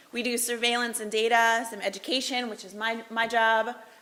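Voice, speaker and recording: Noticeable background noise surrounds a woman who speaks fairly quickly at a fairly high pitch. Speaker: public health official. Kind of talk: presentation. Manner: loud; fast.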